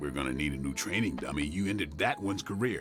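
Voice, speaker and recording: Over clear music in the background, a man rattles off lines very fast in a cartoonish character voice. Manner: brooding, low-key.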